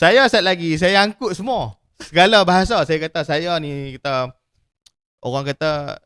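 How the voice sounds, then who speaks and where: A man with a strong Kedah accent talks at a moderate pace, his high pitch carrying a bright, sharp tone and lively intonation. The sound is dry and close, with no echo. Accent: strong Kedah Malay dialect. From Malaysia, Kedah. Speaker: podcast host, printing business owner. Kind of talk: casual chat.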